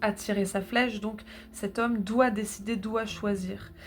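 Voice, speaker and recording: In a northern French accent, a woman speaks very slowly in a somewhat breathy, monotone voice with flat intonation. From northern France. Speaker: tarot reader. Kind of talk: tarot reading. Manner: halting, many filler sounds.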